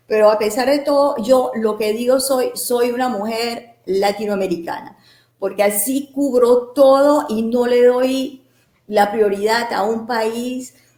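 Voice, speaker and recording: Speaking at a very slow pace, a woman has a high pitch. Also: ordinary pitch variation. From Mexico, Puebla. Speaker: cultural promoter. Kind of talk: interview. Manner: animated.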